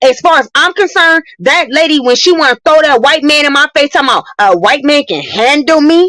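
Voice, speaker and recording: In a dry, close recording with no echo, a woman talks at a fairly quick pace in a high voice, her tone animated and her intonation lively. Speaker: caller on a live stream. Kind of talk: heated debate. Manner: loud.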